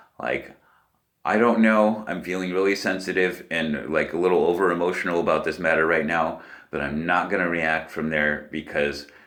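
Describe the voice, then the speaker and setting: At a moderate pace, a man speaks with a very deep, low pitch and ordinary pitch variation, and audible room echo surrounds his voice. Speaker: spiritual vlogger. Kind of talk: casual monologue. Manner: halting.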